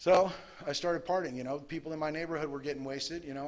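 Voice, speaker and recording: This man talks at a very fast pace with an American accent. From Los Angeles Westside, Southern California. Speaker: recovering alcoholic speaker. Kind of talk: recovery talk to a meeting. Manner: casual, conversational with fillers.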